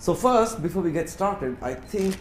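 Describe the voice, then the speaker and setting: A man with an Indian accent speaks amid audible room echo. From India, Bangalore. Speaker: corporate executive, guest speaker. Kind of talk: lecture. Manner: fast.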